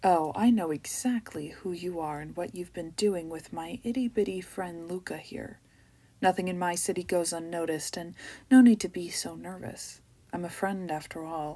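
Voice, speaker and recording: A woman's husky, put-on character voice, fairly low in pitch, with ordinary pitch variation at a moderate pace. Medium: read story. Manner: menacing, condescending.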